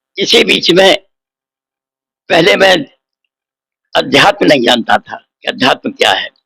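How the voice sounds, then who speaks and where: A man speaks in a high voice with very wide pitch swings and a bright, sharp tone, leaving long, frequent pauses in a dry, close sound with no echo. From Etawah district, Uttar Pradesh, India. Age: 80s+. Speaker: poet and retired civil servant. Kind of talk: interview.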